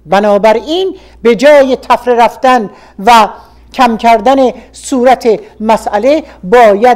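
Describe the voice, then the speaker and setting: A woman whose voice sits fairly high talks very slowly while noticeable noise runs behind her. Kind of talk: radio reading of a political opinion article.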